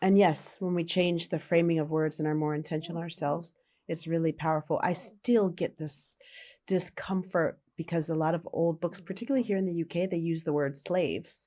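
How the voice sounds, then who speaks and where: With an American accent, a woman talks at a fairly quick pace in a fairly low, dark, mellow voice with fairly even intonation, on a very clean recording with a silent background. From United States. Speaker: social impact worker. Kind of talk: podcast conversation.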